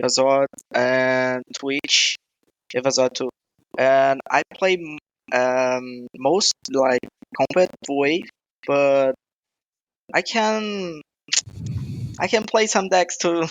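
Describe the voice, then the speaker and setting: A man with a Brazilian Portuguese accent, fairly high pitch and lively intonation, at a very slow pace with long, frequent pauses. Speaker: gaming streamer. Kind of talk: casual chat. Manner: halting.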